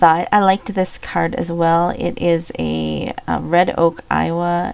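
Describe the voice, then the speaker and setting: A woman speaks with an American accent. Noticeable background noise is present. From Minnesota. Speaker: online reseller / YouTuber. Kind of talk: casual show-and-tell vlog. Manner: casual, with frequent fillers.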